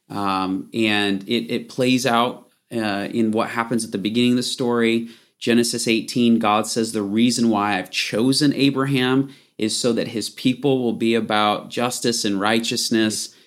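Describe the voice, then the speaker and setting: The speaker has an American accent and a monotone, flat intonation at a moderate pace. The recording is very clean, with a silent background. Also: man, medium pitch for a man. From Michigan. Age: 40s. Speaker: Bible teacher. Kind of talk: casual interview.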